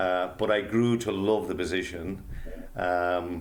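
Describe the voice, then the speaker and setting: With a Derry accent, a man speaks at a very deep, low pitch amid audible room echo. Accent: Northern Irish (Derry). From Northern Ireland (Derry). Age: 60s. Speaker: author and humanitarian. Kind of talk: interview storytelling.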